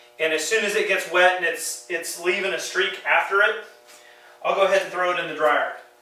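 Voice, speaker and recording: A man with a high pitch speaks in a raised, projected voice with fairly even intonation. Noticeable background noise and audible room echo come through. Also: fairly quick pace. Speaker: car detailing YouTuber. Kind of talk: tutorial. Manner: loud; casual, hesitant with fillers.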